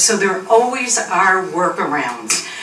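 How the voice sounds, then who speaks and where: A woman's voice with ordinary pitch variation, amid noticeable background noise and audible room echo. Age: 70s. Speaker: resident speaking at public comment. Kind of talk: public comment at town meeting. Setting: town board meeting.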